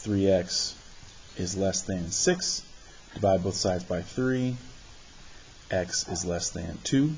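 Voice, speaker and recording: Very slow and full of long, frequent pauses, a man speaks in a very deep, low pitch with ordinary pitch variation. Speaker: math teacher. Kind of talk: tutorial.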